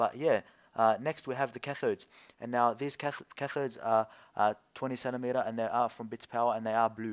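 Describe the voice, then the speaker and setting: On a very clean recording with a silent background, a man speaks at a fairly quick pace and medium pitch with fairly even intonation. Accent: Australian. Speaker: PC building YouTuber. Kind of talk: tutorial. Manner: halting, stuttering.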